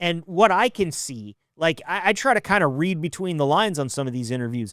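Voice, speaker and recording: A man's fairly high voice is heard on a very clean recording against a silent background. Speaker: podcast host. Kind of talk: podcast outro. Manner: fast; casual, filler-heavy.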